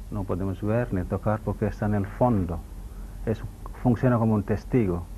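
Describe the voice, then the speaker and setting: Light background noise sits under a man's fairly low voice as he speaks at a moderate pace. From India, Mangalore. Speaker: yoga and ayurveda teacher. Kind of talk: TV interview. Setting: TV studio. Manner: halting. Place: studio. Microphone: lapel.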